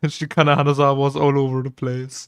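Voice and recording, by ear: A man speaks at a medium pitch, with a clear, smooth tone. His pace is fairly slow, with little pitch movement.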